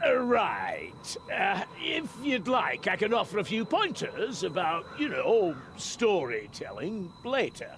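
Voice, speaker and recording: Putting on a gruff character voice, a man speaks at a fairly slow pace with hardly any pauses over clear background noise. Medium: video game. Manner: gruff, talkative.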